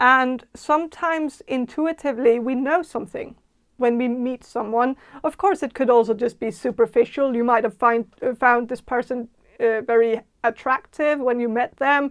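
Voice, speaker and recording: In a strong Danish accent, a woman talks at a moderate pace in a high voice with fairly even intonation, the sound dry and close with no echo. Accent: thick Danish. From Denmark (Jutland). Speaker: tarot reader. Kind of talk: tarot reading monologue. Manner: halting, many fillers and restarts.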